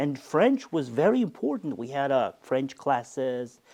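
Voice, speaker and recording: A man with an American accent talks at a very slow pace. His pitch is fairly high and swings very widely. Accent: American-tinged English. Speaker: university rector. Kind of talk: interview. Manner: halting.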